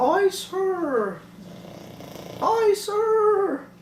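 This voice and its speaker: Over clear background noise, someone puts on a character voice at an extremely high pitch. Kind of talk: respectful, military.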